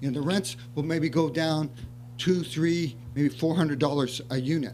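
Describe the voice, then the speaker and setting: A man at a moderate pace, fairly high in pitch, with fairly even intonation and audible room echo. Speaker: city housing staff member. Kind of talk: staff report at council meeting. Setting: city council meeting. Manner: soft-spoken; halting, many fillers. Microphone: too quiet, mic less sensitive.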